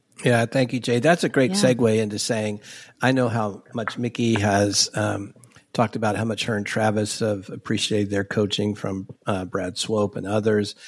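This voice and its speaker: Here is a man with a normal speaking voice and a fairly low pitch. He keeps a moderate pace and fairly even intonation. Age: 60s. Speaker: bishop and podcast host. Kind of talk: casual interview conversation.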